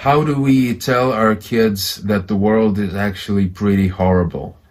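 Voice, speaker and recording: A man talks at a fairly slow pace and fairly low pitch with ordinary pitch variation. Noticeable background noise is present. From Ukraine. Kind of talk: casual chat.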